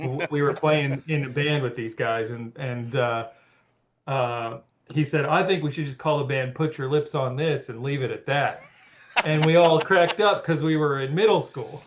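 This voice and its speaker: A man speaks at a moderate pace. His pitch is fairly high, with ordinary variation. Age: 30s. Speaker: former rock band singer. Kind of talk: podcast interview. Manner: halting, many fillers and restarts.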